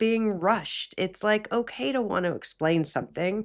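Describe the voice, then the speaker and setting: Her intonation is lively and her pitch fairly high. The woman keeps a moderate pace. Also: very clean recording, silent background. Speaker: meditation podcast host. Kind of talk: guided meditation with casual talk.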